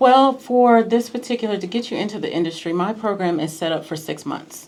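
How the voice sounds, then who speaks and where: An unremarkable speaking voice with an American accent moves at a fairly quick pace with lively intonation. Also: woman, fairly high pitch for a woman. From US Midwest, small town in Missouri. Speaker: clinical research coach. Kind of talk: radio interview. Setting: radio studio.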